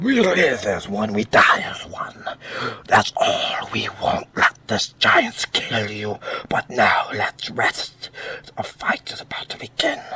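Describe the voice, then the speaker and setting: A man whispers. He is doing a put-on character voice. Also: fairly slow pace. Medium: read story. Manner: vigorous.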